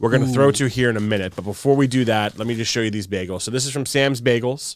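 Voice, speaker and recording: Noticeable background noise surrounds a man speaking at a very fast pace. His medium pitch carries fairly even intonation. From New York. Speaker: podcast host. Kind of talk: casual podcast talk.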